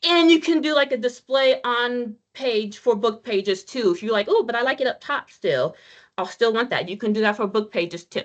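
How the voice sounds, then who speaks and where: At a moderate pace, a woman speaks with lively intonation and a high pitch. The background is quiet. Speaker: web content trainer. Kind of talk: training webinar demonstration. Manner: casual, halting with repeats.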